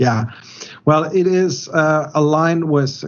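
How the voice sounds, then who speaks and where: This is a man speaking. He has a German accent. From Germany. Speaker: metallurgist consultant. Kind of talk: technical interview. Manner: halting, many fillers.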